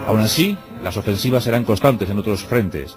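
A fairly quick pace over clear background music, with a dry sound and no echo. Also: man. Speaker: radio host and narrator. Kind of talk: radio documentary narration. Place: studio. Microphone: studio mic.

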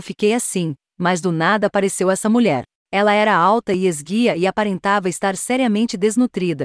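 This woman has a normal speaking voice at a medium pitch, with ordinary pitch variation and very even loudness at a fairly quick pace. The sound is dry and close with no echo, over a quiet background. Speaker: horror story narrator. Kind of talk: scripted horror story narration, first-person ghost tale.

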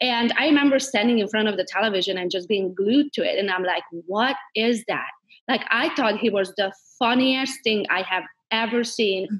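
Here is a woman with a Hungarian accent, talking at a moderate pace with ordinary pitch variation. Her background is quiet. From Transylvania, Romania (Hungarian minority). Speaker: realtor and entrepreneur. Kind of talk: interview. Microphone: video call.

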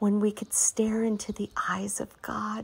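Soft-spoken and somewhat breathy, a woman talks at a very slow pace at medium pitch with monotone, flat intonation. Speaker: meditation guide. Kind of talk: prophetic meditation.

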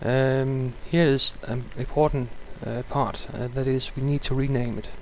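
A man speaks in a medium pitch. His intonation is monotone and flat. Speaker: gaming tutorial creator. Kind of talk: tutorial. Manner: halting, many filler sounds.

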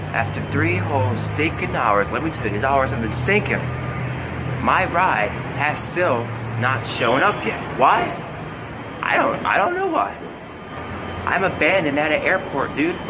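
The man talks at a fairly slow pace, leaving long, frequent pauses. Music plays in the background. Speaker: vlogger. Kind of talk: casual vlog chat. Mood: annoyed, complaining. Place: street. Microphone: phone near.

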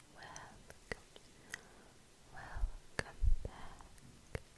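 The speaker is a woman. She is whispering. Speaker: ASMR artist. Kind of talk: ASMR whispered roleplay. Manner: whispered. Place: home room. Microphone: studio mic.

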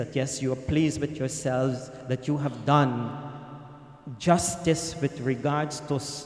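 A man's medium-pitched voice with a slightly mellow tone, fairly slow and fairly even in intonation, over faint background noise.

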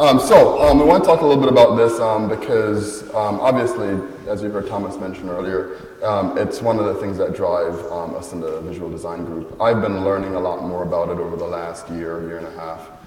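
Audible room echo and light background noise surround a man speaking at a fairly quick pace, his fairly low voice carrying lively intonation. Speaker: conference presenter. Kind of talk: talk presentation. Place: hall. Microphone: handheld.

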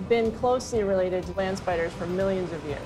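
A woman talks at a fairly quick pace with ordinary pitch variation. Clear music plays in the background. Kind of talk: interview answer. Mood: friendly, smiling. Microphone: lapel.

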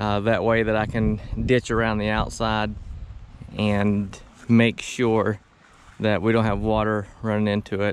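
A man speaks in a monotone, flat intonation, with a dry sound with no echo and light background noise. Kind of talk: casual vlog chat. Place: open country. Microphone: camera far.

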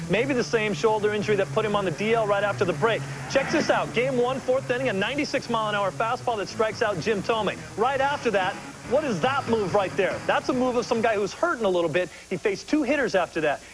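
Music plays in the background as a man speaks at a fairly quick pace with lively intonation and very even loudness. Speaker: baseball analyst. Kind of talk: sports analysis. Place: studio. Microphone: lapel.

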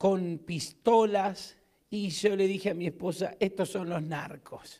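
At a very slow pace, a man with an Argentine accent speaks in a high voice over a quiet background. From Argentina. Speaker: pastor. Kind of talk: sermon. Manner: animated. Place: church. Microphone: handheld.

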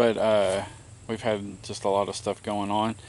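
The man's voice has a dry sound with no echo. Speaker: homestead vlogger. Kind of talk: casual vlog chat. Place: open country. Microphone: phone near.

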